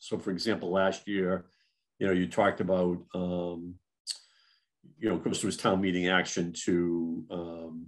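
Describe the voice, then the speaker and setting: Against a quiet background, a man with a very deep, low voice speaks at a moderate pace. His intonation is monotone and flat, with long, frequent pauses. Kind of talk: meeting discussion, opening questions. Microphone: video call.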